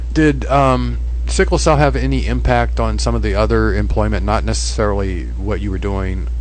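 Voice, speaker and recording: The man's voice is very deep and low, held in a flat monotone. He speaks at a moderate pace over noticeable background noise. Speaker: internet radio show host. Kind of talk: radio interview questions.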